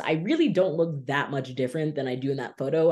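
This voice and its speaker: The speaker has an animated tone and talks with an American accent. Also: man. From US South, Miami Beach, Florida. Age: 20s. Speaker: storyteller. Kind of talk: testimony.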